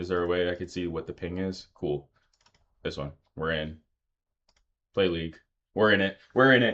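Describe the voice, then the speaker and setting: At a moderate pace broken by long, frequent pauses, a man talks in a very deep, low pitch with ordinary pitch variation. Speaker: game streamer. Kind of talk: live gameplay commentary. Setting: live stream. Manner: loud; animated.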